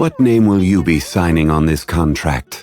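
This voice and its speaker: A man uses a put-on character voice with a very deep, low pitch. He speaks at a moderate pace as faint music plays in the background. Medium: virtual streamer. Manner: calm, measured, formal.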